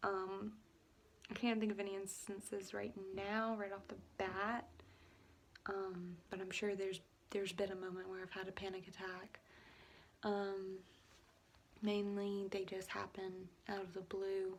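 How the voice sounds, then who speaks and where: A woman speaks at a fairly slow pace with long, frequent pauses. Her intonation is monotone and flat. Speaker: vlogger with epilepsy. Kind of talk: casual personal vlog. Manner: halting with stutters and pauses; rambling with many fillers.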